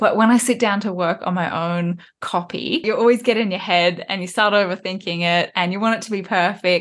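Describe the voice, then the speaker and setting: A woman's normal speaking voice at medium pitch, fairly quick and with hardly any pauses, ordinary pitch variation. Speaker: podcast host. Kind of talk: interview chat.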